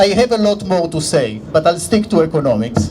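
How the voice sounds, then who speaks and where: Noticeable background noise sits behind a man speaking with an Israeli accent. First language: Hebrew. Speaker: economics professor. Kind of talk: rally speech.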